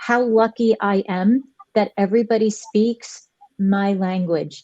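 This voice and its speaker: An unremarkable speaking voice from a woman, fairly high and fairly even in intonation, dry and close with no echo. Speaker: teacher. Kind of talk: casual chat.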